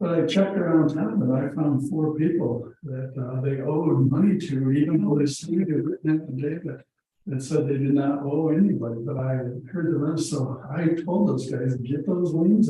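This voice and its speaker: A man speaks at a fairly high pitch with ordinary pitch variation and a moderate pace. Audible room echo surrounds his voice. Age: 60s. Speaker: property owner at a public meeting. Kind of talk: casual chat.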